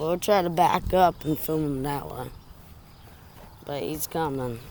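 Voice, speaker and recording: Quiet speech comes at a fairly slow pace. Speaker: train-spotting video maker. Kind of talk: live on-location commentary. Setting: outdoors by railway.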